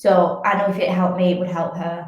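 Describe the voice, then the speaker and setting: With a northern English accent, a woman speaks at a medium pitch in a flat monotone, with audible echo from the room. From northern England, Wigan. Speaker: fitness athlete and coach. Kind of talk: podcast interview.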